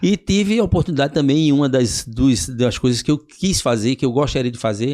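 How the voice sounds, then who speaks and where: A man talks at a fairly quick pace with a normal speaking voice. His pitch is fairly high and his intonation lively. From Northeast Brazil, Paraíba then Recife. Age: 60s. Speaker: physical education professional. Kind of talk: podcast interview.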